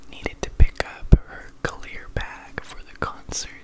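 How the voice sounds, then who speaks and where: A man whispers very slowly, with noticeable noise in the background. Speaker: ASMR creator. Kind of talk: ASMR nighttime chat, casual storytelling. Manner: soft, gentle, calm.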